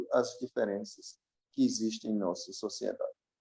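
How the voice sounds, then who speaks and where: The man talks at a moderate pace in a dry, close sound with no echo. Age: 60s. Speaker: professor. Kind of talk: conversational interview.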